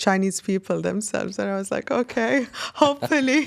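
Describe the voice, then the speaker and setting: A woman with a fairly high pitch speaks with an Arabic accent. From UAE. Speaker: singer. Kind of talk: interview. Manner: halting.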